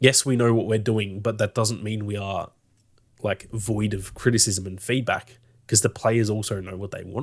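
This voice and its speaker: In a very clean recording with a silent background and a dry, close sound with no echo, a man with an Australian accent speaks at a moderate pace and fairly low pitch, in monotone, flat intonation. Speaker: gaming podcast co-host. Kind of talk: casual chat.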